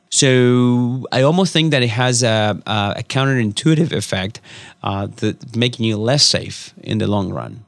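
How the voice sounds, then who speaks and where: With a Spanish accent, a man talks at a fairly slow pace in a medium pitch. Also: ordinary pitch variation. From Argentina, rural Córdoba province. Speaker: immigration attorney, nonprofit director. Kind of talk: interview.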